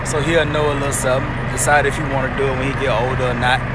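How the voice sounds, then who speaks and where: Loud background noise sits behind a fairly quick voice in a dry sound with no echo. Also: man. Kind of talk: casual vlog chat. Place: street. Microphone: phone near.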